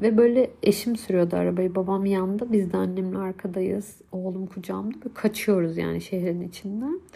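Her medium-pitched voice is somewhat breathy with a dark, mellow tone, as this woman talks at a moderate pace with hardly any pauses and fairly even intonation. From Turkey, Hatay. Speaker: podcast host, mother. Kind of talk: personal monologue. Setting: home recording, separate room.

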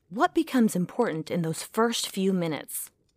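Using very wide pitch swings, a woman with an American accent talks at a moderate pace in a very clean recording with a silent background, the sound dry and close with no echo. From United States. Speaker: actor. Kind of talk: dramatic monologue performance.

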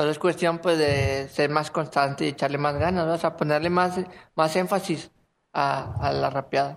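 A man with a normal speaking voice, fairly high-pitched, fairly even in intonation and very even in loudness, at a moderate pace on a very clean recording with a silent background. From Monterrey area, northern Mexico. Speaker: rapper. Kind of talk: casual chat.

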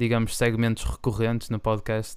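At a moderate pace, a man with a plain, everyday voice speaks at a medium pitch, recorded very cleanly with a silent background. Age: 20s. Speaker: podcast co-host, medical student. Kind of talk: casual chat.

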